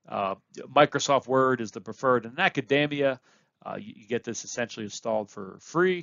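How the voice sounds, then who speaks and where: A man with a plain, everyday voice, medium pitch, lively intonation, a fairly quick pace and big swings in loudness. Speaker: university lecturer. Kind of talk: lecture.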